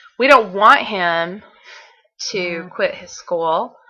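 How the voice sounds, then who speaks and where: With a Southern US accent, a woman speaks at a fairly slow pace in a bright, sharp tone at medium pitch. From Southern United States. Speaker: author and blogger. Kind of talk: casual video diary to camera.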